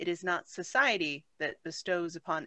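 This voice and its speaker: Against a quiet background, a woman with a fairly low pitch speaks at a moderate pace in a bright, sharp tone. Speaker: class participant. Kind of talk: reading aloud. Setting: video call.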